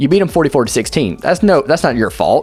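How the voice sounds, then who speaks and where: Very fast speech with very wide pitch swings over music in the background. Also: man. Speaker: sports YouTuber. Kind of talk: unscripted commentary monologue. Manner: halting, stumbling over words.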